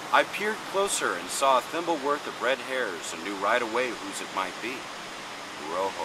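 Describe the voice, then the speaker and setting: A man speaks at a medium pitch and moderate pace, his pitch swinging very widely. Noticeable background noise runs under his voice. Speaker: radio host. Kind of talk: horror story reading.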